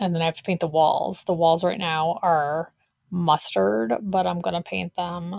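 A woman with an ordinary speaking voice talks fairly slowly at a fairly low pitch, with ordinary pitch variation. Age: 40s. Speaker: podcast co-host and business coach. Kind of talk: casual chat.

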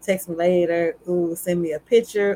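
At a moderate pace and a fairly low pitch, this woman talks in an ordinary speaking voice. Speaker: podcast host. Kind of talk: casual chat. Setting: live stream video call.

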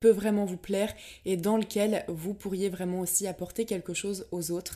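In a very clean recording with a silent background, a woman with a dark, mellow tone and medium pitch talks at a moderate pace in a monotone, flat intonation. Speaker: podcast host and blogger. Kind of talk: casual solo talk. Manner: relaxed.

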